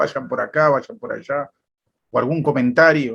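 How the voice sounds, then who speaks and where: His voice sits at a fairly high pitch for a man. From Argentina, Buenos Aires. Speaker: church member asking questions. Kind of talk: casual question in a talk. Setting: video call.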